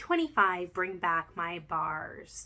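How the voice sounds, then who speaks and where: A woman with a Canadian accent speaks in a bright, sharp tone. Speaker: home fragrance seller. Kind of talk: product review. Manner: halting, many fillers.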